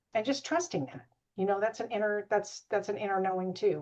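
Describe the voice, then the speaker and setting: A woman's dark, mellow voice with vocal fry and lively intonation. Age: 60s. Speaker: realtor and business coach. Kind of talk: casual chat. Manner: halting.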